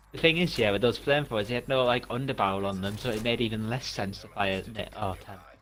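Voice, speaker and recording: Speaking at a fairly quick pace with ordinary pitch variation, the voice carries a northeast English accent. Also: man. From northeast England. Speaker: gaming co-streamer. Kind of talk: casual gameplay chat.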